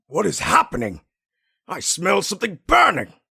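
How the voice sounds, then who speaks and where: A man puts on a character voice, speaking at a moderate pace in a high pitch. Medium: dub. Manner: gruff, demanding.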